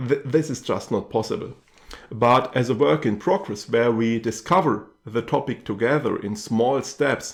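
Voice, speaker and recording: A medium-pitched man with a German accent, lively intonation and a moderate pace. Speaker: YouTube channel host. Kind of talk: channel update talk to camera. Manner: hesitant with many fillers.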